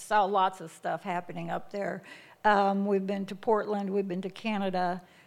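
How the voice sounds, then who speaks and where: A woman with an American accent at medium pitch and moderate pace, monotone and flat in intonation, with big swings in loudness, on a very clean recording with a silent background. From US Midwest. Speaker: missionary. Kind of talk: testimony. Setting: church.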